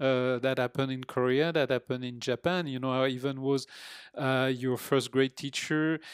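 With a French accent, a man speaks at a moderate pace and medium pitch in a flat, monotone way, recorded dry and close with no echo on a very clean, silent background. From France, Normandy (near Rouen). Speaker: father and retired teacher. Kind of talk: casual interview. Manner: halting, many fillers.

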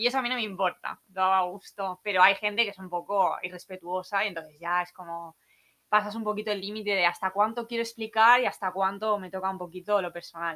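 With a Valencian accent, a woman speaks very fast in a bright, sharp tone with fairly even intonation. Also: medium pitch for a woman, big swings in loudness. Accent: Peninsular Spanish (Alicante). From Spain, Alicante. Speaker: backpacker. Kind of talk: casual chat. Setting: room with open door, weak internet.

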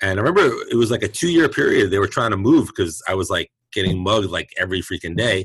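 Talking at a very fast pace with hardly any pauses, a man with a fairly low pitch and an American accent uses lively intonation. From Brooklyn, New York. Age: 50s. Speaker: chiropractor and martial artist. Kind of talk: casual interview chat.

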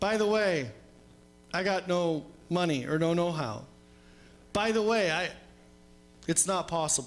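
Music plays behind a man with a high pitch and ordinary pitch variation. He speaks fairly slowly at very even loudness, with long, frequent pauses. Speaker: preacher. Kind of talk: sermon. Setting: church.

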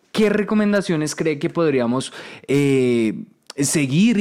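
With a plain, everyday voice, a man speaks fairly slowly at a fairly high pitch, his pitch varying in an ordinary way. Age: 20s. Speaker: podcast host. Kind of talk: casual interview chat.

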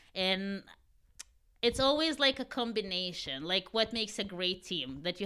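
A woman speaks at a moderate pace and medium pitch with lively intonation and a bright, sharp tone. The recording is very clean, with a silent background. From Ukraine. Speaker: baker and food business owner. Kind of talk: casual interview.

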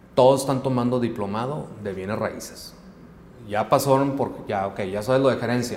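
A man at a moderate pace, with audible room echo. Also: medium pitch for a man, ordinary pitch variation. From Mexico, Hermosillo (Sonora). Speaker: project management firm founder. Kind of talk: interview.

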